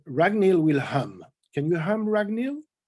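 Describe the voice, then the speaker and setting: A man with a slight French accent talks at a moderate pace in a dark, mellow tone, his pitch swinging very widely. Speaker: storyteller and forum moderator. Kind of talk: online panel discussion moderation. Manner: halting, many fillers.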